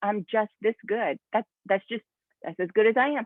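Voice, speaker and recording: The speaker is a woman. Her pitch is fairly high. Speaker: network marketing team leader. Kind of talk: motivational talk to team via video call. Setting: video call. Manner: fast; animated.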